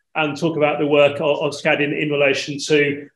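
Moderate pace with audible room echo. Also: man. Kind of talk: event introduction. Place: hall.

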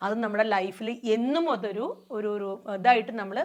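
A woman with a plain, everyday voice speaks at a fairly high pitch. The background is quiet. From Bangalore, India. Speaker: farmer. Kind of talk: testimony.

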